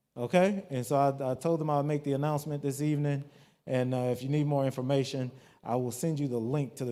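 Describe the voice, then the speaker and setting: Speaking at a very fast pace, a man with an American accent has a dark, mellow tone. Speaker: community meeting organizer. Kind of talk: community meeting announcements. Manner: casual, halting with fillers.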